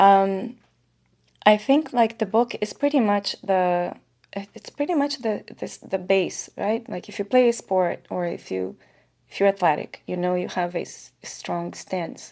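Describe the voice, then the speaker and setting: A woman's dark, mellow tone at a fairly slow pace, with big swings in loudness and ordinary pitch variation. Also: medium pitch for a woman. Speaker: timeshare sales professional. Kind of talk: podcast interview.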